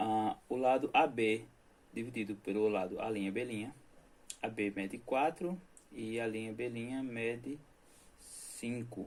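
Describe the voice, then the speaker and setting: Here a man at medium pitch speaks very slowly, with long, frequent pauses. His pitch variation is ordinary. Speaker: math teacher. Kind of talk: lecture.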